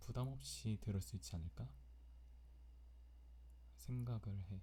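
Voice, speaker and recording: Very slowly, a man speaks in a very deep, low voice with a dark, mellow tone and a somewhat breathy quality. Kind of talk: personal diary-style ASMR recording.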